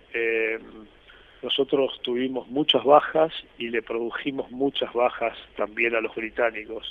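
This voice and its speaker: Delivered at a fairly slow pace with fairly even intonation, this is an ordinary speaking voice. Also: man, medium pitch for a man. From Argentina, Corrientes. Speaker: retired army officer, war veteran. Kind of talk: interview testimony.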